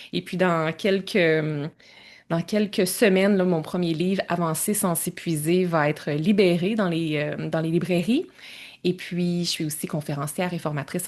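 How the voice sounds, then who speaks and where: The speaker talks with a Quebec accent at a moderate pace, with ordinary pitch variation, over a quiet background. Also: woman. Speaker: entrepreneur and time-management coach. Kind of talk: podcast interview.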